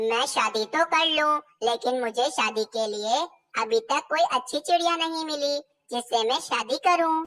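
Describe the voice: A female-sounding cartoonish character voice speaks at a fairly slow pace in a high pitch.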